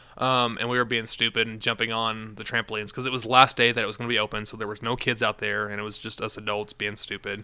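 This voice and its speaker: A man at medium pitch, very fast and monotone, with a bright, sharp tone and flat intonation in a very clean recording against a silent background. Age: 30s. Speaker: filmmaker. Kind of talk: casual chat.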